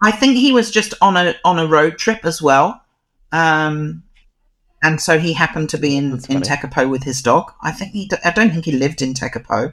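A speaker with a New Zealand accent talks at a moderate pace with lively intonation. The recording is very clean, with a silent background. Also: man, fairly high pitch for a man. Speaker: dog photographer. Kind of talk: interview.

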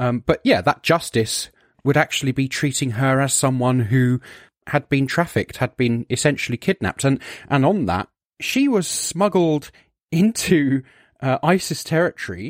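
A plain, everyday voice from a man at fairly high pitch, moderate in pace, lively in intonation, very even in loudness, dry and close with no echo, on a very clean recording with a silent background. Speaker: podcast co-host.

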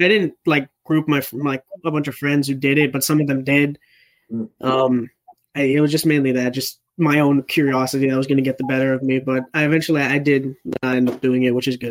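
A man talks at a fairly quick pace in a fairly high pitch. His intonation is monotone and flat. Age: young. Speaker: youth guest. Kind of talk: casual group discussion.

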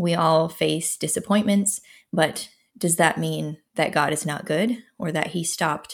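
A woman speaks at a moderate pace with vocal fry and fairly even intonation. The recording is very clean, with a silent background. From Minnesota. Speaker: novelist. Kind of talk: interview chat.

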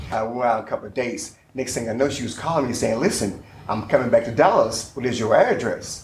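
A man's medium-pitched voice with an American accent at a fairly quick pace, over noticeable background noise and audible room echo. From military family, Kentucky and Virginia. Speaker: life coach and entrepreneur. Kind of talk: casual chat.

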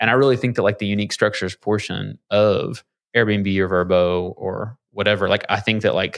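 Spoken with a Kentucky accent at a moderate pace, the voice is monotone and flat, with a dry, close sound and no echo. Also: man. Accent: Kentucky Southern US. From Kentucky, rural Lawrenceburg. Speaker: business owner. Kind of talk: casual interview. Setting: studio.

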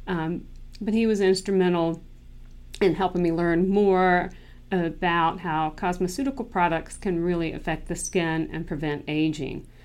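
Speaking with an American accent, a woman uses an unremarkable speaking voice with fairly low pitch, fairly even intonation and a moderate pace. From North Carolina. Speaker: dermatologist. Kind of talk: solo podcast monologue.

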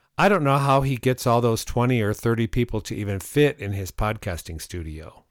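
A man in a normal speaking voice talks at a fairly quick pace with lively intonation, medium pitch, hardly any pauses, and a very clean recording with a silent background. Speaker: podcast host. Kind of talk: casual chat.

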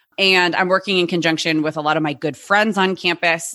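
A bright, sharp tone at a fairly quick pace. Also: woman. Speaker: podcast co-host and high school teacher. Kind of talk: casual chat podcast.

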